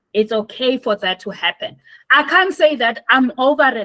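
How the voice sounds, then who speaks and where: A woman speaks in a raised, projected voice with high pitch and lively intonation. Her tone is bright and sharp, the sound dry and close with no echo. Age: 60s. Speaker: activist and healer. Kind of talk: interview conversation.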